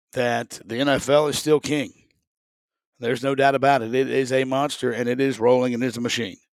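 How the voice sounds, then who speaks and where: With a Southern US accent, a man speaks at a medium pitch and a moderate pace in a monotone, flat intonation. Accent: Southern US (Georgia). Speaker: sports podcast host and stadium announcer. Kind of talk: casual solo sports talk. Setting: home studio.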